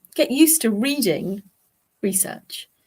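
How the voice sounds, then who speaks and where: Somewhat breathy, the woman speaks with lively intonation. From English Midlands. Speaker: clinical psychologist. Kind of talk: live Q&A stream.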